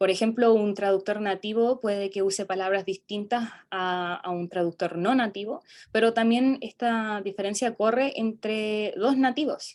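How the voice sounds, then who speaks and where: On a very clean recording with a silent background, a woman with a fairly high pitch talks at a fairly slow pace with fairly even intonation and hardly any pauses. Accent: South American. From South America. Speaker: student presenter. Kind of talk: academic conference presentation. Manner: halting, many fillers.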